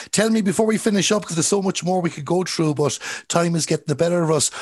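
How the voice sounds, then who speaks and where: A man with a Galway accent, high in pitch, with ordinary pitch variation. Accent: Irish, Galway. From Ireland, Galway. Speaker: sports podcast host. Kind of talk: interview.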